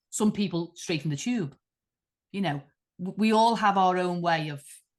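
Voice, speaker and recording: A woman with a Liverpool accent talks at a moderate pace, her medium pitch showing ordinary variation. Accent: Liverpool (Scouse). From Liverpool, England. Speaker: artist. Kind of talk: interview conversation.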